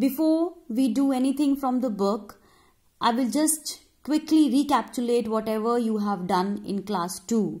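Speaking with an Indian accent, a woman has a high pitch and a dark, mellow tone. She goes at a fairly slow pace. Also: lively intonation, quiet background. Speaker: primary school teacher. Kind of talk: online lesson for children. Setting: recorded video lesson. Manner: slow, instructive. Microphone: phone near.

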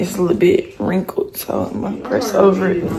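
A woman with a Southern US accent amid noticeable background noise. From Nashville, Tennessee. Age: young. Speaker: college student, vlogger. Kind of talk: casual vlog talk to camera.

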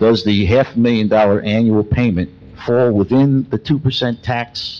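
This man talks at a fairly slow pace with ordinary pitch variation, in a normal speaking voice. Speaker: resident at public comment. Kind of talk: public comment questions read aloud. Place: hall.

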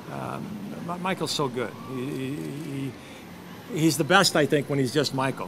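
Noticeable background noise runs under this recording. Over it, a man talks fairly slowly. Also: ordinary pitch variation. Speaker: actor being interviewed. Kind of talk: interview answer. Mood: warm, relaxed, praising colleagues. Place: street.

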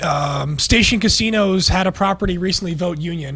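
A man with a high-pitched voice speaks at a moderate pace. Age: 30s. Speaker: radio co-host. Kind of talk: casual chat. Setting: studio. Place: studio. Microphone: studio mic.

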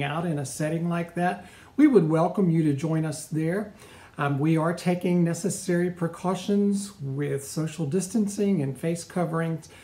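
At a moderate pace, a man with a high pitch and dark, mellow tone speaks with ordinary pitch variation. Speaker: pastor. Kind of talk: welcome announcement and prayer. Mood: warm, welcoming. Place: home room. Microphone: phone near.

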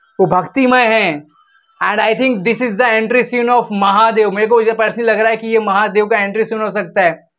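At a moderate pace, a man with a high voice speaks in a monotone with flat intonation. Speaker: YouTube film and song reviewer. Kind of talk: reaction video.

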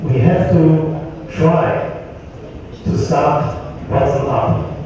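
Fairly even intonation carries through strong room echo and light background noise. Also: man. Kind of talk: workshop speech. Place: hall.

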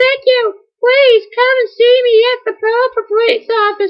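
An extremely high, squeaky put-on character voice with monotone, flat intonation at a moderate pace

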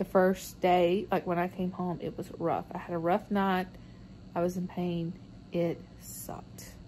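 Someone with a Southern US accent talks at a fairly slow pace over light background noise. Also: woman. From US South. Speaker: vlogger. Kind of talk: video blog about surgery. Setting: at home and in car, hospital. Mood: tired, relaxed recovery talk. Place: home room.

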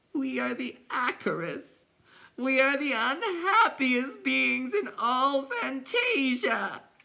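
Speaking at a very slow pace, the put-on character voice sits at a high pitch.

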